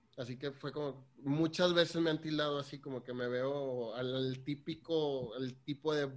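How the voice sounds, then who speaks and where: A man with a plain, everyday voice speaks at a medium pitch. His pace is fairly slow and his intonation fairly even. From Mexico, Tampico. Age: 30s. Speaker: lawyer working in ship maintenance. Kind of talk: casual chat.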